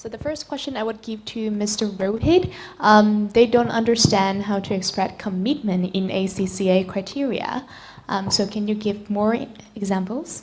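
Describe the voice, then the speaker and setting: Somewhat breathy, a woman talks at a medium pitch. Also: ordinary pitch variation, moderate pace. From Vietnam. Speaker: webinar host. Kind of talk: webinar moderating.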